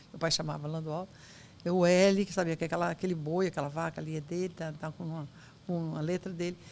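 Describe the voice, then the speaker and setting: Her intonation monotone and flat, a woman with a fairly low pitch talks at a fairly quick pace. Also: big swings in loudness. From Brazil, southern Bahia and Espírito Santo. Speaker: lawyer. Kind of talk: interview. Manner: soft-spoken.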